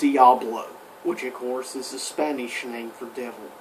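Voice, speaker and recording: A man puts on a character voice at a medium pitch. Clear background noise can be heard. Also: moderate pace. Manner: creepy.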